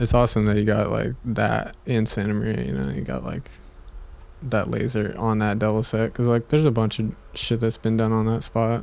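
Here is a man with an ordinary speaking voice and ordinary pitch variation. He talks at a fairly quick pace. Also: fairly low pitch for a man. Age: 20s. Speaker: skateboarder. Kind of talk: casual chat.

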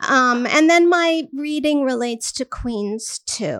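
Very slow speech from a woman with an American accent and ordinary pitch variation, on a very clean recording with a silent background. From Armenian American. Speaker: writer and teacher. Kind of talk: reading aloud; casual anecdote. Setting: bar reading event with audience.

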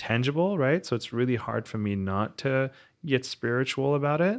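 A man with a normal speaking voice and lively intonation at a moderate pace, in a very clean recording with a silent background. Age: 30s. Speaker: portfolio manager. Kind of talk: casual chat.

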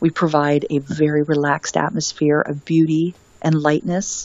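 A woman with a very deep, low pitch at a fairly slow pace. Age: 50s. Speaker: wellness author and retreat owner. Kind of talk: casual interview chat.

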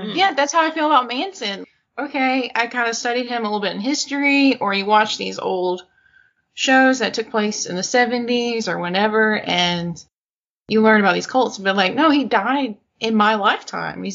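The speaker is a woman with a Southern US accent. Her pitch moves in a lively way. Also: fairly high pitch for a woman, moderate pace. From Arkansas. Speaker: podcast host.

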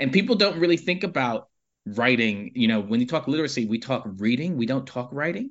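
In an American accent, a man with an unremarkable speaking voice talks fairly quickly with lively intonation. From Harlem, New York City. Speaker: nonprofit chief executive. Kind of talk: casual interview.

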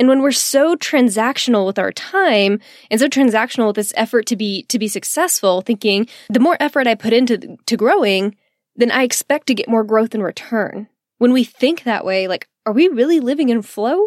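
Speaking in a Texan accent at a moderate pace, a woman has an animated tone and lively intonation, captured with dry, close sound and no echo. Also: fairly high pitch for a woman, very clean recording, silent background. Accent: Texan American English. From Texas. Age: 20s. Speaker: podcast host and business mindset coach. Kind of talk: casual solo podcast monologue.

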